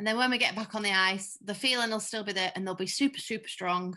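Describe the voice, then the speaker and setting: Against a quiet background, a woman talks very fast in a bright, sharp tone with fairly even intonation. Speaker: skating coach. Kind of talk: online class instruction. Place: home room. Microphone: webcam.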